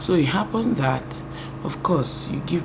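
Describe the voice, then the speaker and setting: Against noticeable background noise and audible room echo, a woman speaks at a moderate pace. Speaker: YouTuber. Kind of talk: testimony. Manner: soft-spoken.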